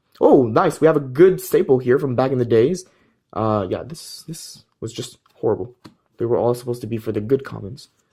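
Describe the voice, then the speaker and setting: A man speaks at a medium pitch and a fairly quick pace, with ordinary pitch variation. His somewhat breathy voice has a dark, mellow tone and big swings in loudness. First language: French. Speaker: trading card game YouTuber. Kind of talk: pack opening video, casual commentary.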